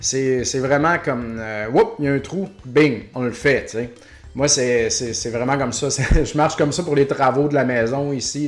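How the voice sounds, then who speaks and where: Over noticeable background noise, a man with a Quebec accent talks at a fairly slow pace with fairly even intonation. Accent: Québécois French. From Quebec, Beauce. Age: 40s. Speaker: podcast host, retro game shop owner. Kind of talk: casual solo podcast monologue. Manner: casual, many hesitations.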